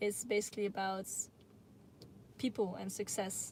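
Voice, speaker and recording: The woman's voice sits at a medium pitch with monotone, flat intonation. She speaks at a moderate pace. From Netherlands. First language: Dutch. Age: 20s. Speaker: YouTuber. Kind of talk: live Q&A stream. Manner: halting.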